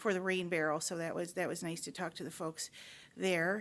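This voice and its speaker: A woman at a medium pitch has a normal speaking voice with an American accent and fairly even intonation, on a very clean recording with a silent background. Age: 50s. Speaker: county commissioner chairing meeting. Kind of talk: public board meeting report.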